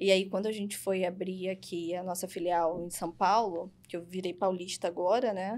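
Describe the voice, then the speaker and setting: Delivered at a moderate pace with hardly any pauses, the speech stays monotone and flat in intonation. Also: woman, medium pitch for a woman. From Rio de Janeiro, Brazil. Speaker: podcast host and interviewer. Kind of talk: interview conversation.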